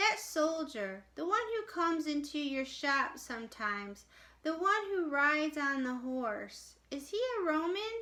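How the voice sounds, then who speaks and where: A woman's soft-spoken, put-on character voice, high-pitched, with very wide pitch swings and a moderate pace. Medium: read story. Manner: gentle, questioning.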